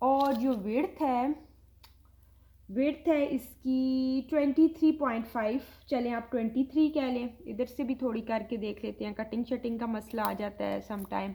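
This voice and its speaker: Loud and high-pitched, a woman's voice carries a dark, mellow tone with ordinary pitch variation. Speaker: online clothing seller. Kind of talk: sales pitch. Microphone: viewers say audio too quiet.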